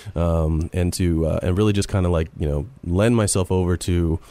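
Dark and mellow in tone, a man's very deep, low voice shows ordinary pitch variation. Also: very clean recording, silent background. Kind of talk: casual radio conversation.

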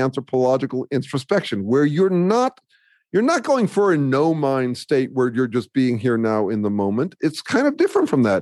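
This is a man on a very clean recording with a silent background. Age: 60s. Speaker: social science writer and researcher. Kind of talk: podcast interview. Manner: halting, many fillers and restarts.

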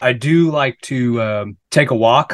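An ordinary speaking voice, a man with an American accent, dry and close with no echo over a quiet background. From Minnesota. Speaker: podcast co-host, NLP trainer. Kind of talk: casual chat.

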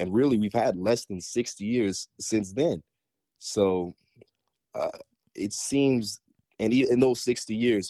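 An ordinary speaking voice from a man at a moderate pace, with ordinary pitch variation and a dry, close sound with no echo. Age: 20s. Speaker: recent university graduate. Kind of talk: casual chat.

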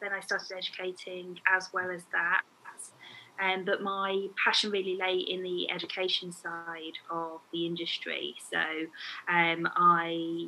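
A woman's medium-pitched voice in a Midlands accent, fairly slow, with monotone, flat intonation. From England, Warwick. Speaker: nail educator and brand owner. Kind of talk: casual interview chat.

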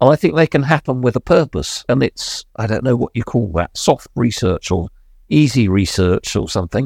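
In a very clean recording with a silent background and a dry, close sound with no echo, a man talks at a moderate pace and medium pitch, with vocal fry and very wide pitch swings. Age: 70s. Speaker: lived experience researcher with Alzheimer's. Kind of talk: casual chat. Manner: hesitant with fillers.

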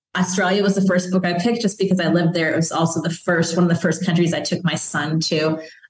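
A somewhat breathy woman's voice with an American accent. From Chicago. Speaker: children's book author and former police officer. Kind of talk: interview conversation.

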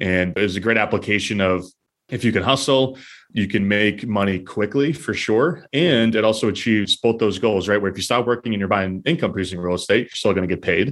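An ordinary speaking voice moves at a fairly quick pace with ordinary pitch variation against a quiet background. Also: man, fairly low pitch for a man. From New Hampshire, US. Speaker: real estate investor. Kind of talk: interview.

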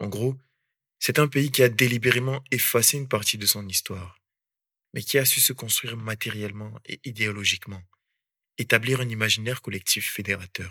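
A man at a medium pitch and a moderate pace, with a bright, sharp tone, fairly even intonation and long, frequent pauses, in a dry, close sound with no echo on a very clean recording with a silent background. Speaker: podcaster. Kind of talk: scripted narration.

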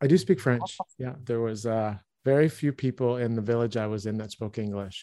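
An American-accented man with a medium pitch and dark, mellow tone moves at a fairly quick pace with ordinary pitch variation. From US, Baltimore, Maryland. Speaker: CEO and founder of an energy organization. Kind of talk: interview conversation.

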